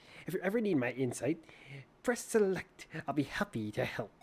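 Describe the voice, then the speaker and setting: A squeaky, put-on character voice at a middle pitch moves at a moderate pace with very wide pitch swings. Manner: helpful, cartoonish.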